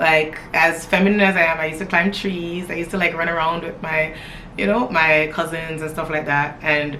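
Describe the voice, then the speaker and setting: A woman speaks at a fairly low pitch, with audible room echo and noticeable background noise. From Toronto area, Canada (born in Jamaica, moved at nine). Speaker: lifestyle vlogger. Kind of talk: casual get-to-know-me chat to camera.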